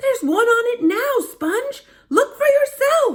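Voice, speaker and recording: A woman puts on a squeaky character voice at an extremely high pitch. Her intonation is lively and her pace fairly slow. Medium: read story. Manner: harsh, bossy.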